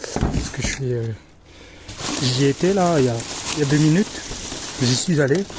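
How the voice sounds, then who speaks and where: In a Berry accent, a man speaks at a moderate pace and a fairly high pitch, with ordinary pitch variation and long, frequent pauses. Noticeable background noise runs under his voice. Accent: Berry accent (central France). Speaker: dumpster-diving vlogger. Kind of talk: casual vlog monologue. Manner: hesitant, many fillers.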